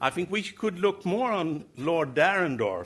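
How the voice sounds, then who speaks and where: Lively in intonation, a man's fairly high voice carries vocal fry. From Sweden. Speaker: politician. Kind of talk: conference speech. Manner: halting.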